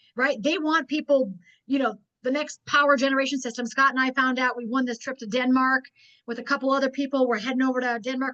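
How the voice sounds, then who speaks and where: A woman's raised, projected voice, high in pitch, at a very fast pace. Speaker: network marketing trainer. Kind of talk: business training webinar. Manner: animated.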